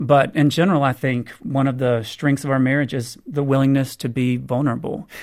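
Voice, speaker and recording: In an American accent, a man with a plain, everyday voice talks at a fairly quick pace with hardly any pauses. His pitch is medium and his intonation fairly even. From US South. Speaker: author on marriage. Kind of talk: radio interview.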